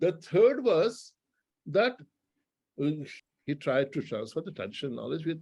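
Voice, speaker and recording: With vocal fry and very wide pitch swings, the speaker moves at a moderate pace broken by long, frequent pauses, in a very clean recording with a silent background. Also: man, fairly high pitch for a man. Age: 60s. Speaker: classical musician and teacher. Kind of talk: interview talk, reminiscing. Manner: halting, many restarts.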